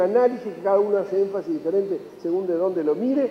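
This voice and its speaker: High-pitched male speech amid noticeable background noise. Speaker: economist speaker at a conference. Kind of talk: conference talk. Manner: fast; animated.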